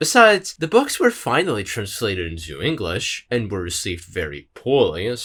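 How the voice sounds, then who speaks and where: A man with vocal fry and very wide pitch swings speaks at a moderate pace on a very clean recording with a silent background. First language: not English. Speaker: video essayist. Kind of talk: scripted narration.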